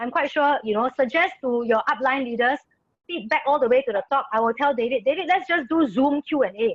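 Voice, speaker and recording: Loud and excited, a woman with a high pitch talks at a fairly quick pace with ordinary pitch variation. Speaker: network marketing presenter. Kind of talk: business presentation Q&A. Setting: video call. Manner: loud, excited.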